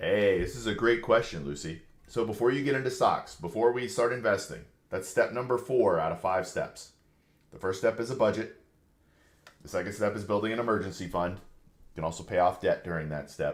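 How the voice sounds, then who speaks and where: A man speaks with vocal fry. His pace is fairly quick. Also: medium pitch for a man, ordinary pitch variation. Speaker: financial advisor answering live questions. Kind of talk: livestream Q&A. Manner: casual, conversational.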